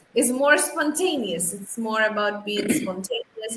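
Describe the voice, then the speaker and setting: Noticeable background noise sits behind this speaker. A woman talks at a fairly slow pace with lively intonation. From Algeria. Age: 30s. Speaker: English language trainer. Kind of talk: interview. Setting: livestream.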